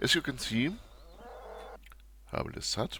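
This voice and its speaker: The man's speech has a non-native accent. It proceeds at a moderate pace. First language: not English. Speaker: video game tutorial youtuber. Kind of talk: tutorial. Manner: formal.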